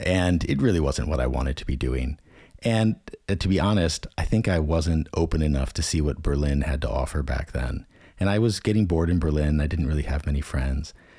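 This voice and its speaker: A man's very deep, low voice in an American accent, dark and mellow, somewhat breathy, at a fairly quick pace with ordinary pitch variation. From United States. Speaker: translator and language consultant. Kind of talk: interview conversation.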